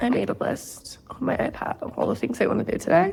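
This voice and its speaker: Noticeable background noise sits under this recording. A woman talks at a fairly quick pace. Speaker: lifestyle vlogger. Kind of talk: casual vlog talk to camera.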